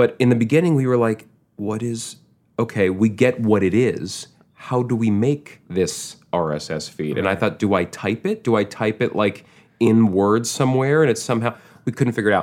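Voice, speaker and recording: With an American accent, a man speaks in a plain, everyday voice at medium pitch, with ordinary pitch variation and a moderate pace, on a very clean recording with a silent background. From Manhattan, New York. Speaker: actor. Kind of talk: casual interview chat.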